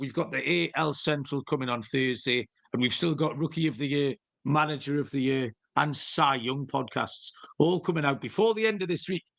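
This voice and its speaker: A man puts on a croaky character voice at a fairly high pitch. He moves at a moderate pace with ordinary pitch variation. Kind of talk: podcast host speaking.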